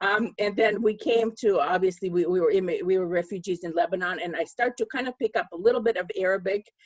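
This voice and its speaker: A woman talks at a very fast pace with hardly any pauses. Her pitch sits in the medium range. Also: ordinary pitch variation. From Russia, Moscow. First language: Russian. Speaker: author. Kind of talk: panel discussion. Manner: halting, many fillers.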